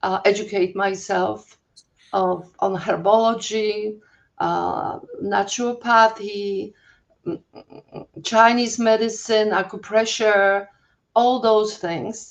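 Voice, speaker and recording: A woman's very slow speech in a Polish accent, fairly high in pitch, with fairly even intonation and long, frequent pauses. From Poland. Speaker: holistic health coach. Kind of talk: interview. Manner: halting, many fillers.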